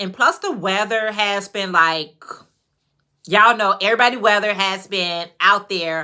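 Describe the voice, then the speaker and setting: With an American accent, an animated tone and a bright, sharp quality, the speaker keeps a moderate pace in a very clean recording with a silent background. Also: woman. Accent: Chicago accent, noticed by others. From Chicago, US. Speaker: YouTuber, crafter. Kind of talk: livestream casual chat. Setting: livestream, on camera.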